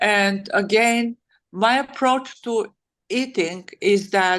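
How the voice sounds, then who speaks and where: A woman with a Bulgarian accent, medium pitch and ordinary pitch variation. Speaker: author and wellness advocate. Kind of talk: interview answer. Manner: hesitant, many fillers.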